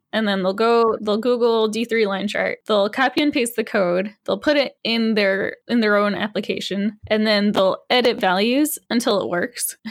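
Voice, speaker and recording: A woman with an American accent has a normal speaking voice at a fairly high pitch. She talks at a moderate pace with fairly even intonation and hardly any pauses. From Massachusetts. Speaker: frontend and UX developer, author. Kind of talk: casual interview chat.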